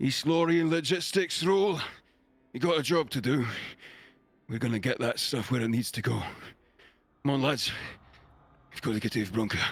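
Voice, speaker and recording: Putting on a character voice, a man speaks at a fairly quick pace and a medium pitch. His voice is raspy, with long, frequent pauses. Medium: virtual streamer. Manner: gruff, hearty.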